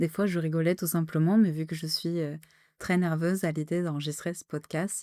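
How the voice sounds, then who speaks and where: Over a very clean recording with a silent background, a woman speaks in a dark, mellow, calm and soothing tone, her fairly low pitch held in a monotone, flat intonation. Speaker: podcast host and streamer. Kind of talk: solo podcast monologue. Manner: calm, deliberately soothing tone; halting, many filler hesitations.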